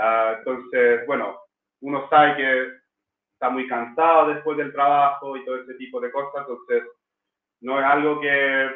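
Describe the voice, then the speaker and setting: A man's medium-pitched voice in an English accent, fairly slow and monotone with flat intonation. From England. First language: English (speaking Spanish). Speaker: language school director. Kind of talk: online masterclass. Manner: hesitant, many fillers.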